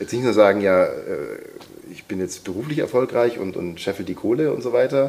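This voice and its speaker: Talking at a fairly quick pace yet with long, frequent pauses, a man speaks at a medium pitch. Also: ordinary pitch variation, big swings in loudness. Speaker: voice-over artist and sound designer. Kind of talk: casual chat.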